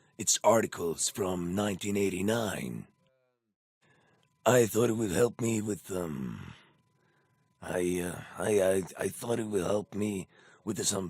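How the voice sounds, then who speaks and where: A man uses a put-on character voice, raspy and fairly low-pitched. He talks at a very slow pace with ordinary pitch variation. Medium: fan dub. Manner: brusque, stubborn.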